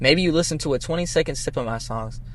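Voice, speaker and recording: With an American accent, a man speaks in a fairly high pitch over noticeable background noise. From Boston. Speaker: rapper. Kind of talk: casual interview.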